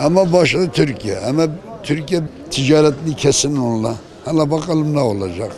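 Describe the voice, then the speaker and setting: Over crowd noise in the background and audible room echo, a man talks in a fairly high pitch with lively intonation. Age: 60s. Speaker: member of the public. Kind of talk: street interview.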